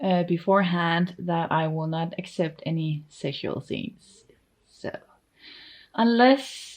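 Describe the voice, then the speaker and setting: A woman's fairly low voice with a Danish accent at a very slow pace, in a very clean recording with a silent background. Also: ordinary pitch variation. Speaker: artist and vlogger. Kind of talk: casual vlog talk. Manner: loose, hesitant with fillers.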